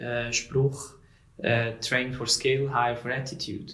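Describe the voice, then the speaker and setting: Over noticeable background noise, a man speaks at a medium pitch in a monotone, flat intonation and a fairly slow pace. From Switzerland, Zug. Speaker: HR manager. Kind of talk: interview.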